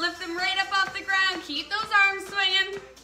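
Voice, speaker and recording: A woman speaks in a raised, projected voice. There is audible room echo and faint music in the background. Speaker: fitness instructor. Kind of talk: workout instruction. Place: open country. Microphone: camera far.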